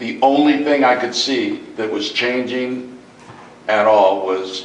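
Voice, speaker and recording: Medium pitch from a man at a fairly slow pace, with ordinary pitch variation, audible room echo and noticeable background noise. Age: 60s. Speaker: community member at public forum. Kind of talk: public comment at town forum. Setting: community center meeting.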